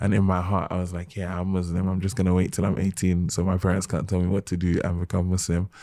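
Speaking with a London accent at a very fast pace, the voice has a dark, mellow tone. The intonation stays monotone and flat. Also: man, very deep, low pitch for a man, hardly any pauses. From London, England. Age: 20s. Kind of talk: casual chat.

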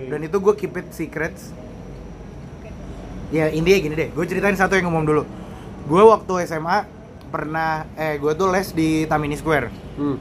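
Amid noticeable background noise, a man talks at a moderate pace with a fairly high pitch and fairly even intonation. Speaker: podcast co-host. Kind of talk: casual chat.

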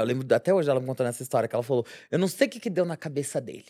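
A woman with a Brazilian accent on a very clean recording with a silent background. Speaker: podcast co-host, nurse. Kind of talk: casual chat.

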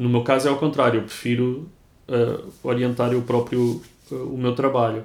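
A man at medium pitch with a Lisbon accent and monotone, flat intonation. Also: moderate pace. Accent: European Portuguese (Lisbon). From Lisbon, Portugal. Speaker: writer. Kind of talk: interview conversation. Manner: halting, frequent word repetitions.

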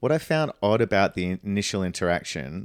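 Recorded very clean with a silent background and a dry, close sound with no echo, a man with an ordinary speaking voice and fairly low pitch talks at a moderate pace. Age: 40s. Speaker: podcast host. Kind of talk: casual chat.

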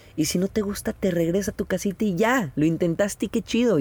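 Here a man speaks with a Mexican accent. His pace is moderate. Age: 30s. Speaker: travel photographer and podcaster. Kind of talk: casual chat. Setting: outdoors by the sea in a camper van.

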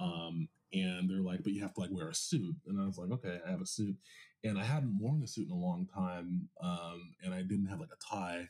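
With lively intonation and a fairly quick pace, a man speaks in an ordinary speaking voice. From Los Angeles, US. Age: 30s. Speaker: star reader and musician. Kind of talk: casual chat.

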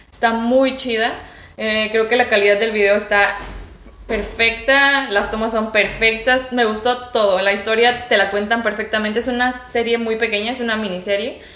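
A woman with fairly high pitch speaks at a moderate pace in a monotone, flat intonation. Music plays in the background, and room echo is audible. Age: 20s. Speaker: student and guest on youth topics. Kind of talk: casual interview.

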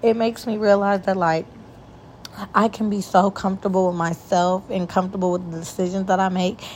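A woman's somewhat breathy voice at a medium pitch, at a fairly quick pace. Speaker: solo podcast host. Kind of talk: casual monologue. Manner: animated.

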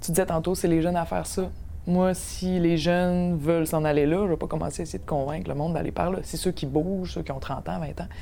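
A woman's fairly low pitch and dark, mellow tone, at a fairly quick pace with fairly even intonation. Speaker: podcast host and politician. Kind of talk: casual chat. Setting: studio.

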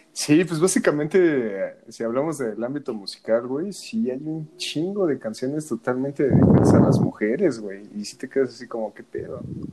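Over noticeable background noise, a man talks at a moderate pace with a fairly high pitch. His intonation is lively and his loudness swings widely. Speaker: podcast co-host. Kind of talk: casual chat.

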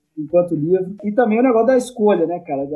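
A man speaks at a high pitch. Music plays in the background. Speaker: podcast host. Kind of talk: interview.

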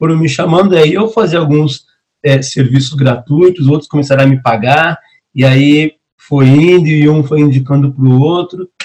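Speaking at a moderate pace, a man with a fairly high, somewhat breathy voice keeps his loudness very even and his pitch variation ordinary. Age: 30s. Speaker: entrepreneur and consultant. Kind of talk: casual chat.

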